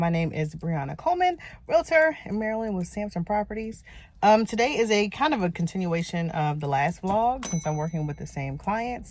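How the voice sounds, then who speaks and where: A somewhat breathy woman at medium pitch and a fairly quick pace, on a very clean recording with a silent background. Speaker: realtor. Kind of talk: vlog narration. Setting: outdoors. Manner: whispering.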